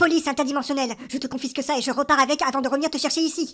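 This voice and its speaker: A woman puts on a stern character voice, high in pitch. She talks very fast with monotone, flat intonation. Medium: machinima. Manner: stern, commanding.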